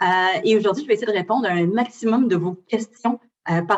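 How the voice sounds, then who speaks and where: Fairly quick delivery from a woman, her pitch fairly high and its movement ordinary. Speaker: university recruitment representative. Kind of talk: presentation to students. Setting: lecture hall with audience. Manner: fast.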